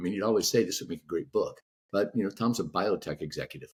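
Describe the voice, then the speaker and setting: A man's voice with vocal fry. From Texas, Houston. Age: 60s. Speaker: author. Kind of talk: podcast interview.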